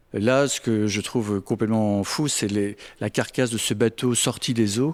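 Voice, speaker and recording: The sound is dry and close with no echo as a man speaks at a moderate pace, his medium pitch following a fairly even intonation. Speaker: photographer. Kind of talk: interview answer. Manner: soft-spoken.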